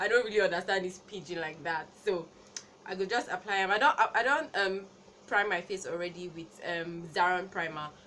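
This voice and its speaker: Over noticeable background noise, a woman talks fairly quickly in a playful tone. Her pitch is medium, with ordinary variation. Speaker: beauty vlogger. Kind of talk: makeup tutorial talk to camera. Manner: playful, laughing.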